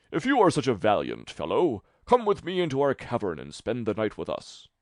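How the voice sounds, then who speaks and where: A man puts on a character voice at a medium pitch. The background is quiet. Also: fairly quick pace. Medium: read story. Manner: gruff, scornful.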